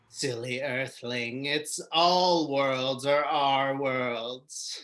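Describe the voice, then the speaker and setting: A put-on, robotic character voice at a low-to-middle pitch and a very slow pace. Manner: menacing.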